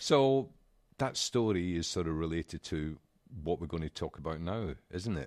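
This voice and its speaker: The speaker has a Scottish accent. The sound is dry and close with no echo, on a very clean recording with a silent background. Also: man, very deep, low pitch for a man, lively intonation, moderate pace. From Scotland. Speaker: podcast co-host. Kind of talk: casual chat.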